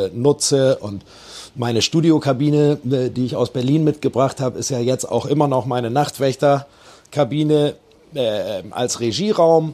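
At a fairly slow pace, a man speaks with a dark, mellow tone, medium pitch and ordinary pitch variation. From Bremen (Osterholz). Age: 40s. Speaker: musician and bar operator. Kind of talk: interview.

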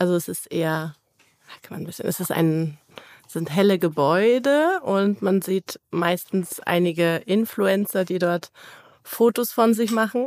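A woman talks at a moderate pace in a normal speaking voice with ordinary pitch variation. The sound is dry and close, with no echo. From Cologne area, Germany. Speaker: powerlifter. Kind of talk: casual chat.

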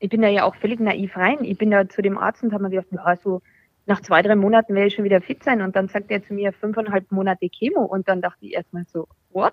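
A woman talks very fast at a medium pitch, her intonation fairly even. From Austria. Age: 30s. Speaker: breast cancer survivor. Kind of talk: casual chat.

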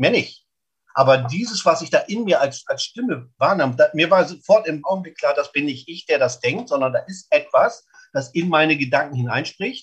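A high-pitched man with lively intonation. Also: moderate pace. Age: 50s. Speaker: snack stand owner and lay evangelist. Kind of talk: interview testimony. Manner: emphatic.

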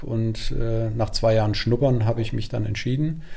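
This man's voice sits at medium pitch with a dark, mellow tone. He speaks at a moderate pace and sounds somewhat breathy. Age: 40s. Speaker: carpet manufacturer. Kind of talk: interview. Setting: on location at a rural workshop.

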